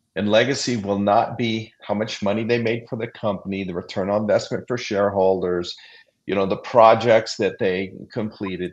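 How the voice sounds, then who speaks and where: A normal speaking voice delivered with fairly even intonation. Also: man. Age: 60s. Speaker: executive leadership coach. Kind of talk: live panel discussion.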